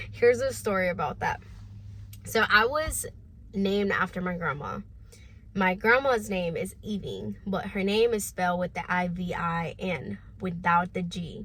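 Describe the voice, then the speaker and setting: With a Spanish accent, a woman of medium pitch speaks at a moderate pace, her intonation lively and her voice showing vocal fry. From Honduras. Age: 20s. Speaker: online business vlogger. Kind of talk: personal vlog storytelling. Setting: home, no studio. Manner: casual, with fillers.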